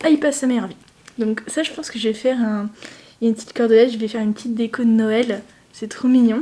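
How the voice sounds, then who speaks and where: A woman with a fairly high pitch speaks at a fairly quick pace amid noticeable background noise. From France. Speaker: lifestyle vlogger. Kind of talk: casual vlog. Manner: chatty, hesitant.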